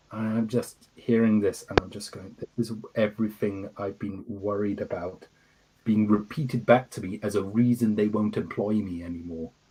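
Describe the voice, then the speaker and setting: A man talks with an English accent at a moderate pace. His pitch is fairly low and his intonation fairly even. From Scotland, Fife countryside, from age two. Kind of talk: interview. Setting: livestream. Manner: halting, repeats words.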